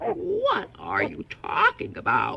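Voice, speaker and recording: Extremely high in pitch, the voice is a put-on character voice. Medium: read story.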